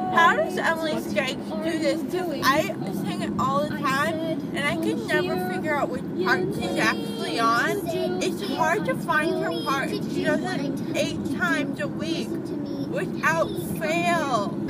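Over clear music in the background, a woman speaks at a fairly slow pace in a dry sound with no echo. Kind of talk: casual vlog chat. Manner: groggy, slurred post-anesthesia speech. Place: car.

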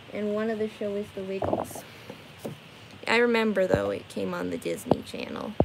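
Amid loud background noise, a woman talks at a moderate pace, leaving long, frequent pauses. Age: 20s. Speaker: live streamer painting for viewers. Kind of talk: casual live stream chat with viewers. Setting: live stream from her bedroom. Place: home room.

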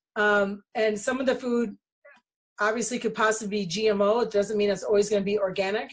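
A woman talks at a fairly high pitch with monotone, flat intonation and very even loudness. The background is quiet. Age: 50s. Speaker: essential oils distributor and channel host; channel host. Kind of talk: casual monologue to viewers. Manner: halting with frequent fillers. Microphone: video call.

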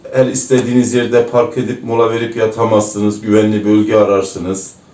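A man with an Erzurum accent talks at a moderate pace. Audible room echo surrounds his voice. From Turkey, Erzurum. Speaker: former truck driver. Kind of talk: interview. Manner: hesitant, frequent fillers.

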